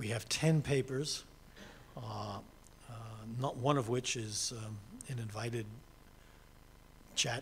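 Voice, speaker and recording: Audible room echo surrounds a man speaking with an American accent. His voice is somewhat breathy, with ordinary pitch variation. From United States. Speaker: session chair. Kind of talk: formal session introduction. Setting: conference session with audience. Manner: halting, many fillers.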